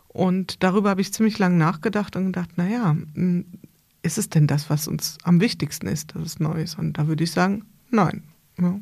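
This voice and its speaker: Somewhat breathy and fairly low in pitch, a woman talks at a moderate pace with fairly even intonation and long, frequent pauses. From Hesse, Germany (Bad Camberg). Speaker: podcast host and consultant. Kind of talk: casual interview conversation. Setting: studio, in person with host.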